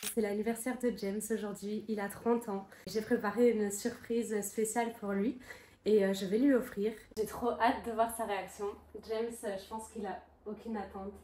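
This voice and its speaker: A woman speaks at a moderate pace in a fairly high pitch with monotone, flat intonation. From Luxembourg and rural Belgium. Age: 20s. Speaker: travel vlogger. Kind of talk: casual vlog chat.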